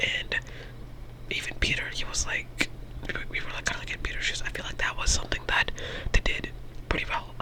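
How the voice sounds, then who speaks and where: Whispering at a fairly quick pace with long, frequent pauses, the speaker is heard over noticeable background noise. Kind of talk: ASMR movie review. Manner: whispered; casual, rambling.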